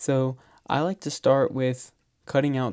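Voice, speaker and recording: The speaker is a man. He keeps his intonation fairly even. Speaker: graphic design tutorial creator. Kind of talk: tutorial. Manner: monotone.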